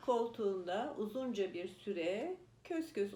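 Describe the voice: Simple reading aloud, plain throughout.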